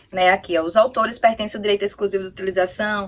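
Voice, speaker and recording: With monotone, flat intonation, a woman talks at a fairly quick pace and a medium pitch. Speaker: exam-prep youtuber. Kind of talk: tutorial. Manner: halting.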